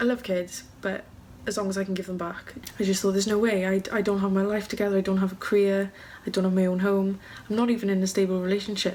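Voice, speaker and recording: In a Welsh accent, a woman speaks at a medium pitch. Her delivery is very fast and monotone, with flat intonation. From South Wales. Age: young. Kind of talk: casual vlog talk to camera.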